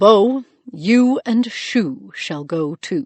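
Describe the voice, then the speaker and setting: A female-sounding, put-on character voice comes through at a fairly high pitch. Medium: read story. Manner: formal, authoritative.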